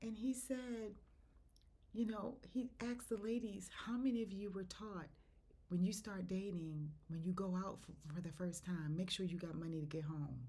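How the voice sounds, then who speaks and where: Her voice is somewhat breathy, set at a medium pitch with ordinary variation. The woman keeps a moderate pace against audible room echo. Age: 60s. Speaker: faith podcaster. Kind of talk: devotional talk. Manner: animated.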